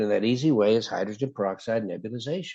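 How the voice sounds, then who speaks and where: A man talks in an ordinary speaking voice. His pace is moderate, with ordinary pitch variation. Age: 60s. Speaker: cardiologist and health author. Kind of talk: interview.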